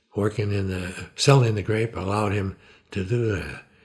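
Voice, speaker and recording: Fairly low pitch for a man, somewhat breathy, with fairly even intonation and a moderate pace. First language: Italian. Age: 80s+. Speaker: retired physician. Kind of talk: life story interview. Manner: conversational, with hesitations.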